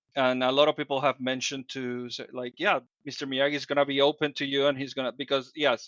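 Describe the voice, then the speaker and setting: Delivering his words at a very fast pace, a man with a Dominican accent speaks in monotone, flat intonation. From Dominican Republic. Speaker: podcast guest, fitness group leader. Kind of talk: interview conversation. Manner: hesitant, with fillers and restarts.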